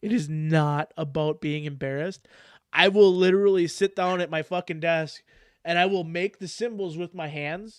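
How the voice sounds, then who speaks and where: A man with a high pitch talks in an animated tone at a moderate pace over a quiet background. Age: 30s. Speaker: podcast host. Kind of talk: casual chat.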